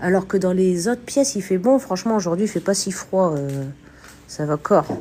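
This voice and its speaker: A woman's dark, mellow voice at medium pitch. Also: lively intonation, moderate pace. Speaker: urban explorer and spiritual medium streamer. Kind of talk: live stream commentary while exploring. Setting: abandoned house, live stream. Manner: animated.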